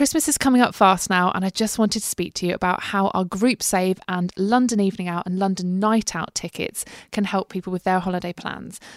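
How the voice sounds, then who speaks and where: A British-accented woman at a medium pitch and fairly quick pace, with ordinary pitch variation and hardly any pauses, dry and close with no echo in a very clean recording with a silent background. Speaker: podcast host. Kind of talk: scripted podcast hosting.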